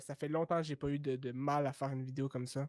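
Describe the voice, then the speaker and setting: A man with a Quebec accent speaks at a moderate pace in a fairly high, flat monotone. The sound is dry and close, with no echo. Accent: Québécois. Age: 20s. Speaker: YouTuber. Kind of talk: podcast interview. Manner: hesitant, many fillers.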